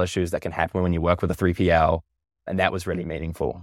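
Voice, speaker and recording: Delivered at a very fast pace in a New Zealand accent, the speech comes through a very clean recording with a silent background and a dry, close sound with no echo. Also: man. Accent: Kiwi. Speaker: app co-founder. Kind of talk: casual interview.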